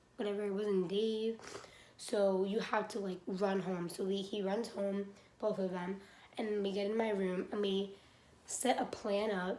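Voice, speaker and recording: A woman talks at medium pitch and a fairly slow pace, her intonation flat and monotone. Room echo is audible, along with noticeable background noise. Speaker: beauty vlogger. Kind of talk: casual storytelling.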